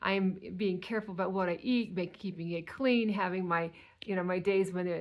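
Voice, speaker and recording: A woman's ordinary speaking voice, fairly even in intonation, at a moderate pace. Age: 60s. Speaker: weight loss vlogger. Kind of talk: casual monologue.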